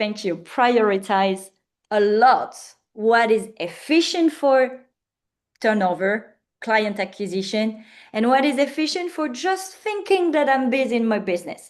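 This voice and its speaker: A woman speaks with a French accent and a fairly high pitch. Her pitch swings very widely against a quiet background. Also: fairly slow pace. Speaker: business founder and coach. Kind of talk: interview. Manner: halting.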